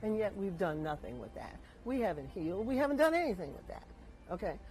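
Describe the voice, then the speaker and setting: A woman at medium pitch talks at a very fast pace with vocal fry, very wide pitch swings and big swings in loudness, in a room with audible echo. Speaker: guest speaker on lynching history. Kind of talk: presentation talk.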